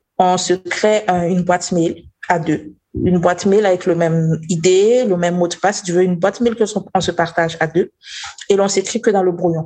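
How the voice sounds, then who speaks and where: In a dark, mellow tone, a woman speaks at a moderate pace with a fairly low pitch and fairly even intonation. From Burkina Faso. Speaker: investigative journalist. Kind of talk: interview. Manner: halting.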